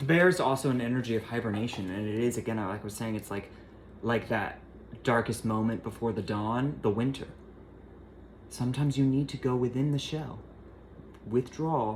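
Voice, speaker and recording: Soft-spoken delivery at a moderate pace with long, frequent pauses. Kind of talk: tarot reading.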